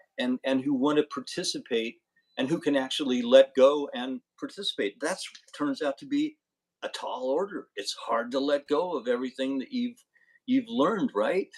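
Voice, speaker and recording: Here a man talks at a moderate pace with lively intonation. His pitch is fairly high. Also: dry, close sound with no echo. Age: 60s. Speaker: podcast guest. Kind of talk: casual interview chat. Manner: halting, many repeated words.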